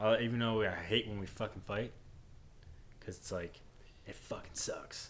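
A fairly low-pitched man's voice proceeds at a moderate pace. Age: 20s. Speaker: podcast co-host, married father. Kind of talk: casual chat.

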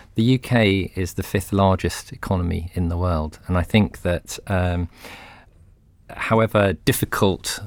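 A man with a British accent speaks in a very deep, low voice. His intonation is fairly even, and the recording is very clean with a silent background. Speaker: CEO of a medical publisher. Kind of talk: podcast panel discussion. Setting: studio.

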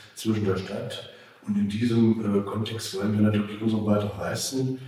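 The speaker's intonation is monotone and flat. Audible room echo and noticeable background noise fill the recording. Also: man. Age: 50s. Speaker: city official. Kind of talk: interview. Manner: halting. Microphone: poor recording quality, faulty mic.

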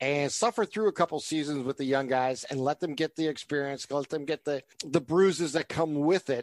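Using a normal speaking voice, a man talks at a fairly high pitch with fairly even intonation, on a very clean recording with a silent background and a dry, close sound with no echo. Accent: American. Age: 50s. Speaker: sports podcast host. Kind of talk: casual sports chat.

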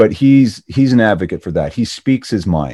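An unremarkable speaking voice from a man with a Canadian accent, lively intonation and moderate pace, dry and close with no echo over a quiet background. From Ontario, Canada. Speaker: actor and former radio DJ. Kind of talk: casual interview.

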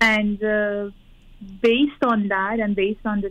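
A woman has a plain, everyday voice of medium pitch. She speaks at a fairly slow pace. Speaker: parent. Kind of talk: personal advice call. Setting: phone call.

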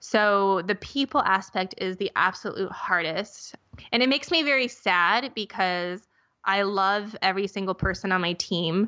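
A woman with an American accent and an unremarkable speaking voice speaks at a moderate pace and medium pitch with ordinary pitch variation. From US Midwest (Minnesota). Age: 30s. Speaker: skincare company founder. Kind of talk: interview.

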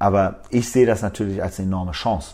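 Music plays in the background as a man talks at a moderate pace in a very deep, low pitch. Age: 30s. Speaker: media technology executive. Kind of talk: interview. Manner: hesitant, many fillers.

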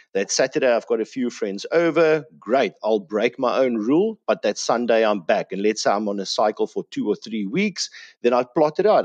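In a South African accent, a man with a medium pitch speaks at a moderate pace with lively intonation, in a dry, close sound with no echo and a quiet background. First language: Afrikaans. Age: 30s. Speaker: health and fitness guest. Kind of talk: casual interview.

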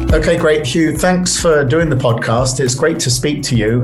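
A man with a British accent at a moderate pace, with audible room echo and noticeable background noise. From UK. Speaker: podcast host, writer and analyst. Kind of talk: interview.

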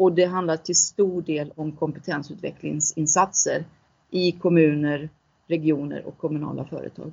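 A woman with a very deep, low voice speaks in a monotone, flat intonation while her loudness swings widely. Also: moderate pace. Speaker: CEO of a transition fund. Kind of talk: interview.

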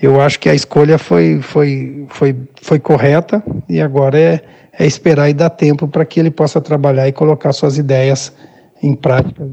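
A man with a dark, mellow tone and a fairly high pitch speaks at a moderate pace, somewhat breathy, with ordinary pitch variation. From Brazil, Rio Grande do Sul (Minas do Leão). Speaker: football coach, former player. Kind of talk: interview. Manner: halting, repeats words.

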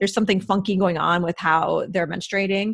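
A woman's plain, everyday voice, medium in pitch, with fairly even intonation. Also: very clean recording, silent background. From US Midwest. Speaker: registered dietitian. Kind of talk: interview.

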